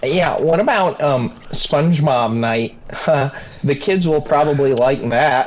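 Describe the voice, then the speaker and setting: At a fairly slow pace over light background noise, a man uses a squeaky, put-on character voice at a fairly high pitch. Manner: perky.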